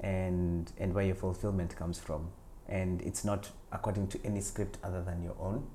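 Very deep and low in pitch, a man speaks at a moderate pace in a dark, mellow, somewhat breathy tone, flat and monotone in intonation, with audible room echo. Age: 40s. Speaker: actor and writer. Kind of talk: interview.

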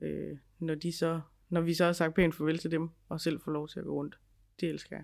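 At a moderate pace, a woman speaks in a monotone, flat intonation at a fairly low pitch with vocal fry. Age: 30s. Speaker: podcast co-host, ghost hunter. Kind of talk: casual chat.

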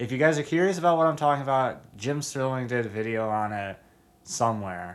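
With a plain, everyday voice, a man speaks at a fairly quick pace and medium pitch, his intonation lively. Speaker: podcast host. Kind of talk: casual chat.

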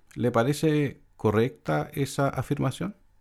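A man talks at a fairly slow pace with ordinary pitch variation in a normal speaking voice, captured in a very clean recording with a silent background. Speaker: radio host. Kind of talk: radio interview, scripted intro.

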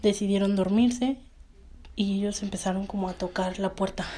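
A woman's somewhat breathy voice sits at a medium pitch and moves at a moderate pace. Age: 20s. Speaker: podcast host and university student. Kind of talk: storytelling.

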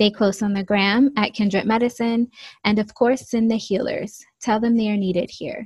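Soft-spoken and somewhat breathy, a woman talks at a moderate pace in a fairly high pitch with monotone, flat intonation. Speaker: podcast host. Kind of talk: casual chat.

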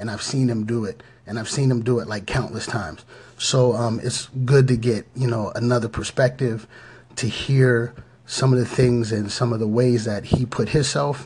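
Moderate pace and fairly even intonation, with noticeable background noise. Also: man, medium pitch for a man. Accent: American. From Pittsburgh area, Pennsylvania. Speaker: podcast host. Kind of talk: motivational podcast talk. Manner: halting, many fillers.

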